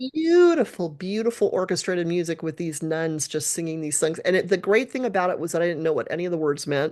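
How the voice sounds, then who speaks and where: A woman speaks at a very fast pace with hardly any pauses. Her pitch is fairly low and varies in an ordinary way. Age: 60s. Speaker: worship musician. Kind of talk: casual chat.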